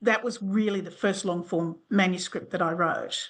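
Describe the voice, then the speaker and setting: A woman with an Australian accent at medium pitch, moderate pace and ordinary pitch variation, against a quiet background. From Western Sydney, Australia. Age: 60s. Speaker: doctor and novelist. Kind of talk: interview answer.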